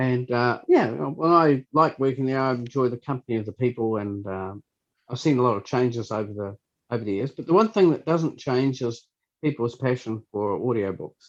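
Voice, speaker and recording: Recorded dry and close with no echo, a man with a New Zealand accent speaks at a moderate pace and medium pitch, with ordinary pitch variation. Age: 60s. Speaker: library scanner operator. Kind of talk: interview. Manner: halting.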